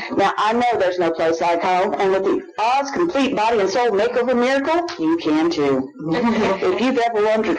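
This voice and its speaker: With hardly any pauses, a man speaks at a moderate pace in a high pitch, his loudness very even but his pitch swinging very widely, over noticeable background noise. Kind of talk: infomercial parody. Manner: breathless, gushing hard-sell pitch, frantic and gleeful, breaking into giggles.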